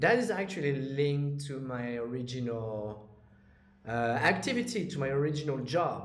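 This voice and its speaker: A man's lively intonation at a moderate pace, over noticeable background noise. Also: fairly high pitch for a man. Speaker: crypto YouTuber and trader. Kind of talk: monologue to camera, casual vlog. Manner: casual, hesitant with fillers.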